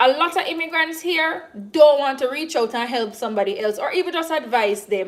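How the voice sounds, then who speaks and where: A woman with a Jamaican accent talks at a moderate pace and a high pitch over noticeable background noise. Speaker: YouTuber doing a cooking livestream. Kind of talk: casual livestream chat. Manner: halting, many fillers and restarts.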